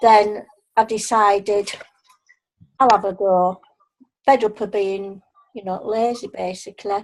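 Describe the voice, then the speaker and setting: This woman talks at a fairly slow pace. She has a Yorkshire accent. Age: 60s. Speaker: retiree, new sales team member. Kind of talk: testimony.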